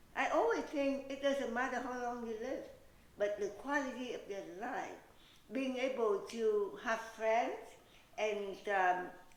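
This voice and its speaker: Speaking at a fairly slow pace, a woman uses a high pitch with ordinary variation. Audible room echo and noticeable background noise surround her voice. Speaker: beauty pageant winner. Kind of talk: interview.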